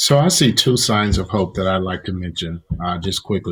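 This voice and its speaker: A man talks in a Southern US accent. His voice is fairly low and his pace is moderate. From Mississippi, deep South US. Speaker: pastor. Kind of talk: interview discussion.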